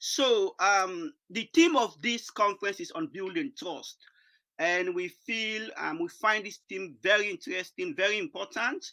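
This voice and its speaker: A man's raised, projected voice, high in pitch with very wide swings, bright and sharp in tone, fairly slow, with big swings in loudness and a dry, close sound with no echo. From Sierra Leone. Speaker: charity founder, conference speaker. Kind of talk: conference presentation. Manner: hesitant, many fillers.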